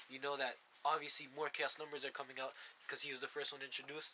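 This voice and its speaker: This man's voice has a fairly high pitch. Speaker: card game video host. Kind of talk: casual chat. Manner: fast.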